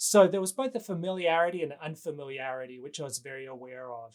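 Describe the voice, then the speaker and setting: A man with an Australian accent and a fairly high pitch. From Western Australia. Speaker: novelist and professor. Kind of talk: interview.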